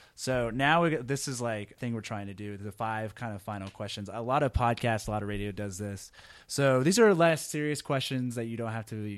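With an American accent, a man talks in an ordinary speaking voice at a medium pitch, with ordinary pitch variation, a fairly quick pace and hardly any pauses. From Texas (Arlington, Houston). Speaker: podcast interviewer. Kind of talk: interview conversation. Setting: on a university campus. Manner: casual, stumbling.

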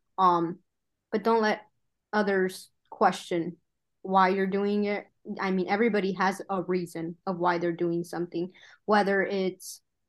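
Against a quiet background, a woman speaks at a moderate pace with a medium pitch. Her intonation is fairly even, and she has an unremarkable speaking voice. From US Midwest, Michigan, Mexican-American migrant family. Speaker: mechanical engineer. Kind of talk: casual chat.

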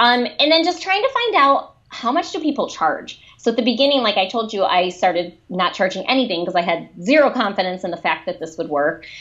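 A woman speaks at a fairly quick pace with a Michigan accent, barely pausing at all. Her fairly high voice swings very widely in pitch. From Michigan, suburban Detroit. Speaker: children's book author and speaker. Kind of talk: interview.

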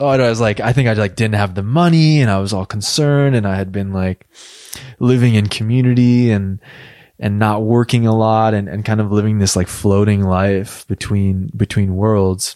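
This voice has a dark, mellow tone, moves at a moderate pace, and shows ordinary pitch variation. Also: man, fairly low pitch for a man. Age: 30s. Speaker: online community manager. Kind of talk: conversational interview. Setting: studio. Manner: halting, frequent repetitions.

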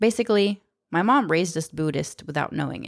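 An unremarkable speaking voice at a fairly quick pace, lively in intonation, in a very clean recording with a silent background. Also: woman. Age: 30s. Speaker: podcast host and storyteller. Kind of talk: personal storytelling monologue. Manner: casual, conversational.

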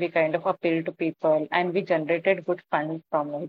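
A woman speaks in an Indian accent at a fairly low pitch. Her intonation is monotone and flat. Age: 40s. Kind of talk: interview.

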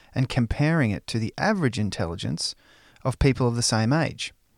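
An unremarkable speaking voice moves at a fairly quick pace, with a dry, close sound, no echo, and a very clean recording with a silent background. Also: man. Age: 40s. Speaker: podcast host. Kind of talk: scripted narration.

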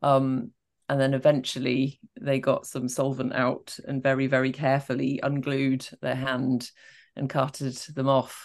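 Over a quiet background, a woman speaks at a fairly slow pace in a very deep, low pitch with a monotone, flat intonation. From Scotland. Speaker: podcast co-host. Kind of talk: casual chat. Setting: remote video call.

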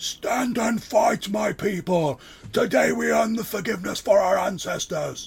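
A man bellows in a high-pitched, put-on character voice at a moderate pace. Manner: bellowing, shouting.

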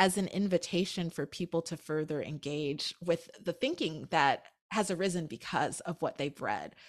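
In a very clean recording with a silent background, a woman speaks. She has a General American accent and a fairly slow pace. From Anchorage, Alaska. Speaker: author and essayist. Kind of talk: casual interview.

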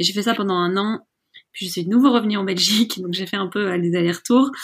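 A woman's voice with ordinary pitch variation. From Belgium, Brussels. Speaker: entrepreneur. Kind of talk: interview. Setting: remote call. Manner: halting.

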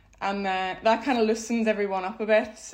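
A woman with a Belfast accent. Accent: Belfast Northern Irish. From Northern Ireland, Belfast. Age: 30s. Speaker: speed dating event organiser. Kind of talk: interview.

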